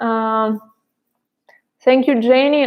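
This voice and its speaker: A woman speaks with a non-native accent. Her pitch sits high. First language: not English. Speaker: pole dance instructor. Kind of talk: live stream Q&A about online classes. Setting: live stream. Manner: halting, many fillers.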